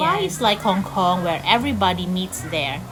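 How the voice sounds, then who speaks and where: Noticeable background noise and audible room echo surround a woman speaking at a medium pitch. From Philippines. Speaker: vlogger. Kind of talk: casual personal vlog talk. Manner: conversational.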